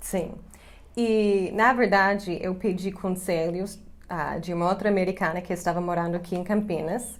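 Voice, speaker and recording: Audible room echo surrounds a woman speaking with an English accent. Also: medium pitch for a woman, fairly even intonation, moderate pace. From US, Chicago. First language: English (speaking Portuguese). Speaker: English teacher and YouTuber. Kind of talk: casual chat to camera.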